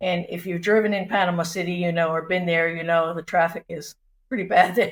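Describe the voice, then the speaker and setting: In an American accent, a woman with a plain, everyday voice speaks fairly quickly at a fairly low pitch with fairly even intonation. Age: 60s. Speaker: retiree, house sitter. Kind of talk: casual interview chat.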